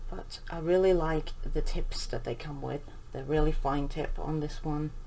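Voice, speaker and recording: A soft-spoken voice at a moderate pace over noticeable background noise. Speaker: coloring channel creator. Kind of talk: tutorial.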